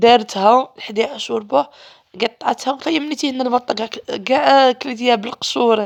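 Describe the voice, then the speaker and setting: High-pitched, a woman talks with ordinary pitch variation. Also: moderate pace. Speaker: primary school teacher. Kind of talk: casual vlog narration. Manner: animated.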